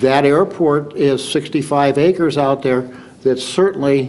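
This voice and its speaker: Noticeable background noise sits behind a man speaking at a fairly slow pace. His medium pitch shows ordinary variation. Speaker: city council candidate. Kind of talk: candidate forum answer. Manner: halting.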